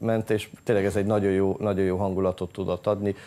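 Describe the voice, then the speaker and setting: Light background noise sits behind a man speaking with monotone, flat intonation. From Hungary. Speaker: sports association president. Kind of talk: TV studio interview. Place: studio. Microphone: lapel.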